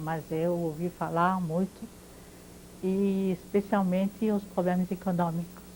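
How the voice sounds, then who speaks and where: A woman at medium pitch speaks very slowly, her intonation monotone and flat. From France (Paris), born in Poland. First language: French (speaking Portuguese). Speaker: Holocaust-era witness, interviewee. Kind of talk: oral history interview. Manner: halting, with hesitations.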